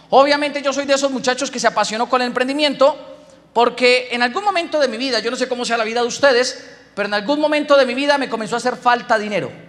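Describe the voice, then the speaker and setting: A man with an extremely high pitch talks at a very fast pace in an animated tone, with ordinary pitch variation. Noticeable background noise runs behind him. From Colombia, Boyacá. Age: 20s. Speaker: business speaker. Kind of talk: motivational talk.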